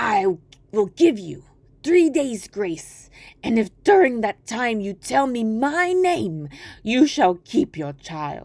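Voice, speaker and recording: A woman's put-on character voice, fairly high-pitched with very wide pitch swings, at a very slow pace in a very clean recording with a silent background. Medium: read story.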